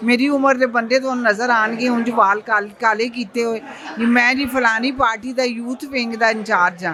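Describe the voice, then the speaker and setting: Noticeable background noise surrounds a woman speaking at a high pitch. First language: Punjabi (speaking Hindi). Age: 60s. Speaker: activist. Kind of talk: press interview. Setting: press club.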